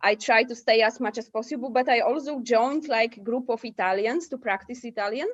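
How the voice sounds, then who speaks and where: With a Polish accent, a woman speaks high-pitched at a fairly quick pace with hardly any pauses. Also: ordinary pitch variation. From Poland. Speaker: digital nomad. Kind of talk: podcast interview.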